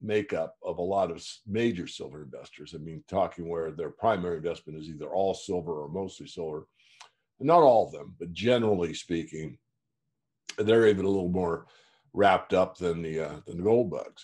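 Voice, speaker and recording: A man's very deep, low voice at a moderate pace, with ordinary pitch variation over a quiet background. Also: big swings in loudness. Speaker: market newsletter publisher. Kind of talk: interview answer. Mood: calm, reflective. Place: home room. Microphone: video call.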